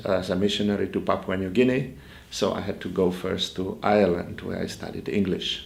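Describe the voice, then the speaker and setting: Speaking in a Polish accent, a man with a fairly low pitch keeps a moderate pace and a monotone, flat intonation, with audible room echo around him. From Poland. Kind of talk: interview. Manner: halting.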